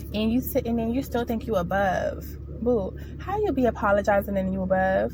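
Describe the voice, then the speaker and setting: Her tone is animated as this woman speaks at a fairly quick pace. Noticeable background noise is present. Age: 20s. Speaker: spiritual vlogger. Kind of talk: casual monologue. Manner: fast.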